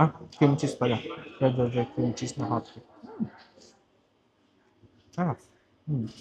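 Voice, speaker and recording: At a moderate pace, a man with a medium pitch and ordinary pitch variation talks with long, frequent pauses. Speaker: vlogger. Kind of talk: casual vlog talk. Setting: coffee shop. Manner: soft-spoken.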